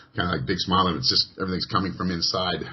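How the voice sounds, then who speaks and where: A man with a Canadian accent, very deep and low in pitch, at a very fast pace over noticeable background noise. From Western Canada. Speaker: radio host. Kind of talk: radio interview.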